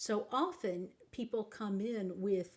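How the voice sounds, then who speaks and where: Somewhat breathy speech with an American accent and ordinary pitch variation. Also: woman. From Texas. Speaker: life coach. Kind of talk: advice talk.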